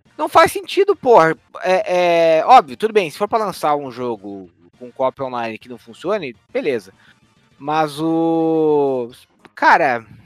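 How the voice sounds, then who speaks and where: Set in a dry, close sound with no echo and music in the background, a man speaks at a very slow pace with fairly high pitch, very wide pitch swings and big swings in loudness. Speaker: gaming podcast co-host. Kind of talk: casual chat.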